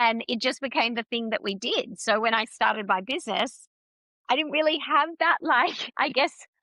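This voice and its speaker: An Australian woman sounds loud and energetic, her tone bright and sharp. Her fairly high voice moves with lively intonation. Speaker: business mentor. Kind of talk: casual interview chat. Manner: loud, energetic.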